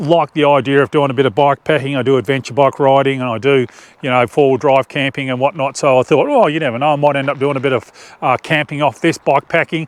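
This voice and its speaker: Talking at a very fast pace, the man has an Australian accent, a fairly high pitch and fairly even intonation. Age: 50s. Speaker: outdoor adventure vlogger. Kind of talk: casual product review. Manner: halting.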